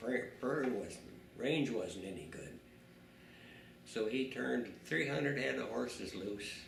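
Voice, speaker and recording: There is vocal fry in this man's medium-pitched voice. He speaks at a fairly slow pace. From South Dakota, USA. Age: 80s+. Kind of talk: interview answer. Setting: home. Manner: casual, rambling storytelling.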